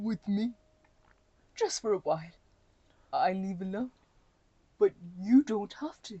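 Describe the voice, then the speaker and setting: Using a put-on character voice at a medium pitch, a woman speaks at a fairly slow pace with ordinary pitch variation, big swings in loudness and long, frequent pauses. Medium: read story. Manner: soft, hesitant, stammering.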